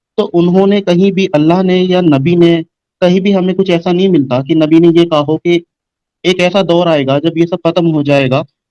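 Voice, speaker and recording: With a dark, mellow tone and a high pitch, a man speaks at a moderate pace with fairly even intonation and very even loudness, in a dry, close sound with no echo. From India. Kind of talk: casual debate discussion.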